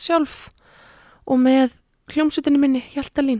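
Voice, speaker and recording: Dark and mellow in tone yet high in pitch, a woman's voice comes through with a dry, close sound with no echo. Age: 30s. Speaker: singer. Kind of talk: casual interview.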